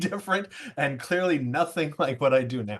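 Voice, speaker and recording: Ordinary pitch variation in a man's medium-pitched voice. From California. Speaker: professor. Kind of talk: online presentation. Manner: halting, many fillers.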